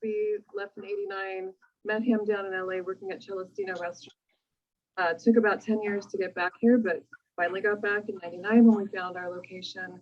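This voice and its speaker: An ordinary speaking voice from a woman with an American accent and fairly even intonation. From Los Angeles, California. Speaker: restaurant owner. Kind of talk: interview. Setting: in their restaurant.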